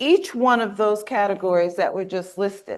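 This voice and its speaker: An unremarkable speaking voice with an American accent. The pitch varies in an ordinary way over a quiet background. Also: woman. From US South, Mississippi. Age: 60s. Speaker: workshop trainer. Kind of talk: conference workshop presentation. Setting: conference room with live and online audience.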